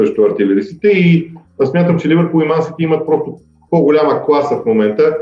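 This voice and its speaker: Amid audible room echo and background music, a man talks at a fairly quick pace in a fairly high pitch. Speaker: football podcast host. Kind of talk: solo football analysis monologue. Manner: frequent filler sounds and hesitations.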